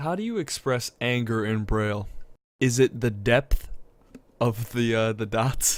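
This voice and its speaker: A man's medium-pitched voice, fairly even in intonation, at a fairly slow pace. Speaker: podcast co-host. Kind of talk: casual chat.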